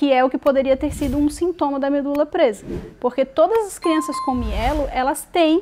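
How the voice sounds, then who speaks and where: A woman talks at a moderate speed. Her voice is high, with ordinary pitch variation. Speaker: mother of a child with spina bifida, video creator. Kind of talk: casual vlog talk to camera. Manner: halting, with fillers and restarts.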